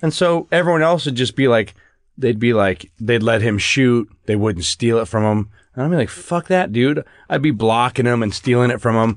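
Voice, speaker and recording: A man with an American accent speaks at a moderate pace and medium pitch. His intonation is lively against a quiet background. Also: very even loudness. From US Midwest. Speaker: podcast co-host. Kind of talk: casual chat. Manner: loud.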